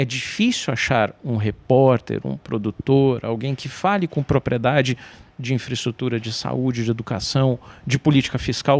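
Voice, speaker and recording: In an ordinary speaking voice, a man talks at a moderate pace and medium pitch, the sound dry and close with no echo. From Brazil, São Paulo. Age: 40s. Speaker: journalist. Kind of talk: interview conversation.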